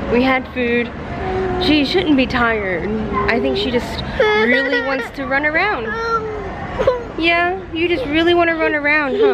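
The speech moves at a fairly slow pace with long, frequent pauses. Crowd noise sounds in the background. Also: woman. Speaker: parent vlogger. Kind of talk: casual vlog chat. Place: street. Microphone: phone near.

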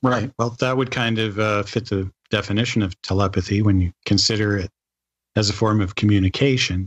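The sound is dry and close with no echo, carrying a plain, everyday voice at a fairly quick pace with fairly even intonation. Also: man, fairly low pitch for a man. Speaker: podcast co-host. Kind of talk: interview.

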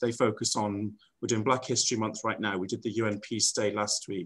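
A man speaks with an English accent against a quiet background. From England. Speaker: international school director. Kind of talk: panel discussion. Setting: video call. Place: office.

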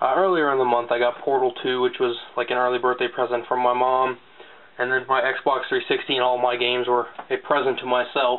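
A man at a fairly quick pace, with very even loudness and monotone, flat intonation. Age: 20s. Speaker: gaming YouTuber. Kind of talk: casual video haul showcase. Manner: casual with frequent fillers. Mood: relaxed, mildly pleased. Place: home room. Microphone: webcam.

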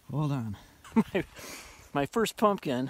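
A man talking at a fairly slow pace, dry sound without echo, noticeable background noise. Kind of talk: casual vlog chat. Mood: pleased, amused. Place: open country. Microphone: phone near.

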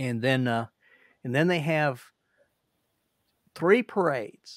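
Against a quiet background, a man talks at a very slow pace with ordinary pitch variation in a dry sound with no echo. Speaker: livestream host. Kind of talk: casual conversation. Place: home room. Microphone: webcam.

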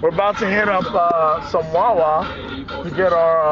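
A man talks at a fairly slow pace while clear music plays in the background. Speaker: vlogger passenger. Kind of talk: casual vlog chat. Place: car. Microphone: phone near.

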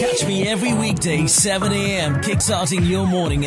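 Over loud background music, a man talks at a fairly quick pace, the sound dry with no echo. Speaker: radio presenter. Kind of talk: radio breakfast show presenting, casual chatty banter. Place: studio. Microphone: studio mic.

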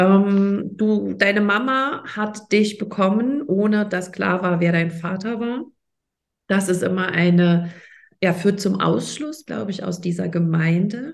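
Here the speaker is a woman. She moves at a very slow pace, and her pitch varies in an ordinary way. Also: medium pitch for a woman. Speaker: podcast host and coach. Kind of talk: interview.

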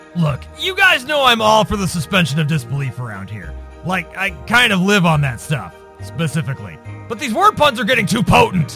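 A man puts on a cartoonish character voice, high-pitched and fairly quick. Clear music plays in the background.

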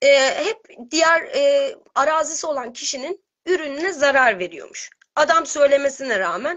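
Pitch swings very widely at a moderate pace. The background is quiet. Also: woman, high pitch for a woman. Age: 30s. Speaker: caller sharing healing story. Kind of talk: testimony; personal testimony on a call. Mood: emotional, earnest. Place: home room. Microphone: video call.

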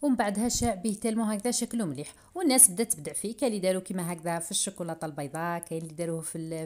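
A woman's medium-pitched voice at a very fast pace, with ordinary pitch variation. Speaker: cooking youtuber. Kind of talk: cooking tutorial.

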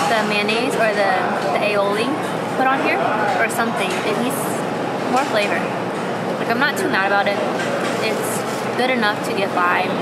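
Long, frequent pauses break up speech with ordinary pitch variation. Loud background noise runs underneath. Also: woman, moderate pace. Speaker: vlogger. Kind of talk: casual food review vlog chat. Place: market.

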